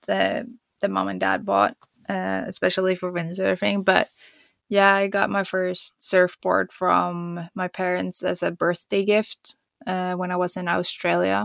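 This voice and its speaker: Someone with a Swedish accent speaks at a fairly slow pace, with a dry, close sound and no echo. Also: woman. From Sweden. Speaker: pro skier and surfer. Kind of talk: interview.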